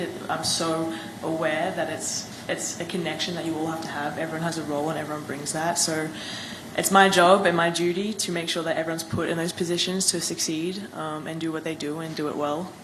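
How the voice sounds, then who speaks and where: Amid noticeable background noise and audible room echo, a woman talks at a very fast pace with fairly low pitch and monotone, flat intonation. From Australia. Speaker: professional basketball player, draft pick. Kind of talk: press conference answers.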